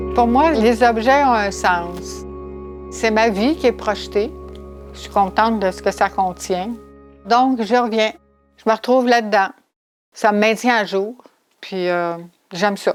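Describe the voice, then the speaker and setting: A woman with a fairly high voice at a very slow pace, long, frequent pauses, and music in the background. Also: ordinary pitch variation. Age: 70s. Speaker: retired sailing enthusiast. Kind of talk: documentary interview answer.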